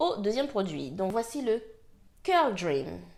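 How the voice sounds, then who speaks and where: There is music in the background as a woman talks at a very slow pace. Her fairly high voice moves through very wide pitch swings. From French Guiana. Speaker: hair care vlogger. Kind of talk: casual talk to camera, product review.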